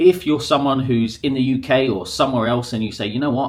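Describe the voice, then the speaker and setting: He speaks with a southern English accent at a medium pitch. His pace is fairly quick. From southern England, near Brighton. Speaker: English teacher, podcaster. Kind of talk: casual monologue to camera. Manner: conversational, with fillers.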